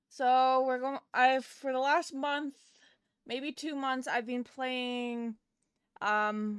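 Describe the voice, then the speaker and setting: Soft-spoken and high-pitched, a woman talks at a very slow pace with fairly even intonation. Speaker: game streamer. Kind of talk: live gameplay stream chat. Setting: live stream. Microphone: too quiet at first.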